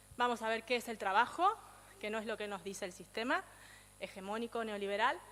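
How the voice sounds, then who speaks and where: The speaker is a woman with a fairly high pitch. She talks at a fairly quick pace. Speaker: speaker on feminist economics. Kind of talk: lecture. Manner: fast.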